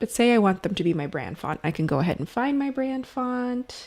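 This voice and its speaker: A woman is speaking. Her pitch swings very widely. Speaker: video editing instructor. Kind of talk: tutorial. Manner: casual.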